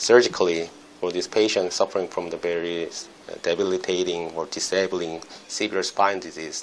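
Intonation is fairly even. The delivery keeps a moderate pace. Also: man.

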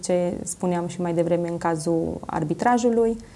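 A woman talks with fairly even intonation. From Romania, Zalău; Romania. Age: 20s. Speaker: coach, talk show guest. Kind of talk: TV interview. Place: studio. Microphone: lapel.

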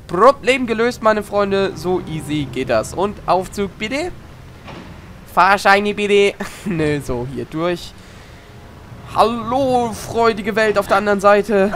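A high-pitched man at a fairly slow pace, with noticeable background noise. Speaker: gaming YouTuber. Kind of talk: let's play commentary. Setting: home recording. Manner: animated.

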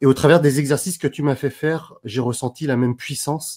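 A man talks at a fairly quick pace with ordinary pitch variation, and the background is quiet. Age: 30s. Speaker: personal development coach and speaker; personal development coach, speaker. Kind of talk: interview. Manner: animated. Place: home room. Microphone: earbuds.

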